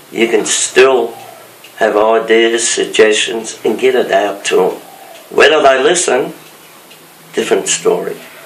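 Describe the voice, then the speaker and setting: Delivered at a fairly slow pace with long, frequent pauses, the speech carries audible room echo and noticeable background noise. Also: man. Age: 70s. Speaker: retired fire brigade captain. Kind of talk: interview. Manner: halting.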